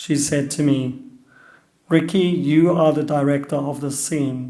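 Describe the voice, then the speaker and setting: Audible room echo surrounds a man with a fairly high pitch, a dark, mellow tone and fairly even intonation. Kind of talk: personal talk.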